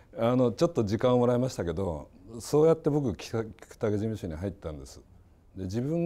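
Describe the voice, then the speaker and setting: A man's medium-pitched voice, dark and mellow in tone, with very wide pitch swings at a fairly quick pace. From Yokohama, Japan. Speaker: architect, professor emeritus. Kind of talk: reminiscence in panel discussion. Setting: online panel discussion.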